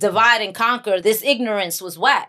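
With a New York accent, a woman uses lively intonation in a bright, sharp tone. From Bronx, New York. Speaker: actress and author. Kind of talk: casual podcast interview.

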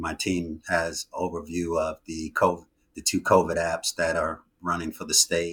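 The speaker, with an American accent, talks at a moderate pace in a very clean recording with a silent background. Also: man. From New York City. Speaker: IT consultant. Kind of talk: interview.

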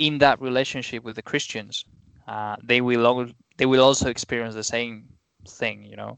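With a Spanish accent, a man speaks at a medium pitch and moderate pace in a monotone, flat intonation, with big swings in loudness. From Spain. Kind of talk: casual chat.

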